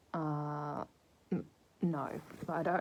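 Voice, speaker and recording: A woman's dark, mellow tone with an Australian accent. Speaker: book reviewer. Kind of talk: casual book review. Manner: hesitant, filler-heavy.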